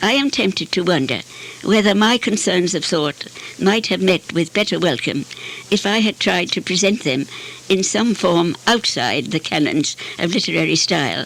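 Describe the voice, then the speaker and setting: Through noticeable background noise, a woman speaks at a medium pitch and moderate pace, with lively intonation and very even loudness. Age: 80s+. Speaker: poet. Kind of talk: literary lecture.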